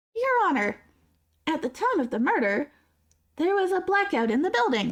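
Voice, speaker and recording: A man puts on a character voice at an extremely high pitch. His pitch swings very widely at a moderate pace. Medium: actual play. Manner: formal, measured.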